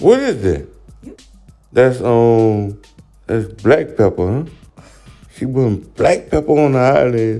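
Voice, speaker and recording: A man with a New Orleans accent speaks at a very slow pace with long, frequent pauses and ordinary pitch variation over music in the background. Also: medium pitch for a man. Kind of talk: comedic voiceover commentary.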